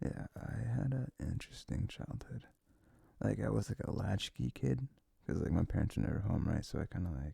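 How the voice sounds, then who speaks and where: A soft-spoken man whispers with vocal fry at a moderate pace, the sound dry and close with no echo. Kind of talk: ASMR boyfriend roleplay. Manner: soft, whispered; rambling, casual.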